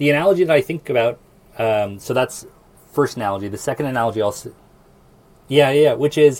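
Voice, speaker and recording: At a very fast pace but with long, frequent pauses, a man with an American accent talks at a medium pitch with ordinary pitch variation. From Nebraska, US Midwest. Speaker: AI product lead, software engineer. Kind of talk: casual interview.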